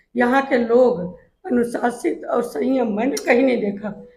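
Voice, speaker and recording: High-pitched and showing ordinary pitch variation, a woman's voice is heard. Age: 60s. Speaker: retired school principal, patient. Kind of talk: testimonial.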